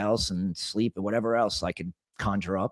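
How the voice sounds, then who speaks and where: A man's normal speaking voice, fairly low in pitch and at a fairly quick pace, in a dry, close sound with no echo. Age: 40s. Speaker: auto body shop owner. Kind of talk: casual chat. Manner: casual, profane and repetitive.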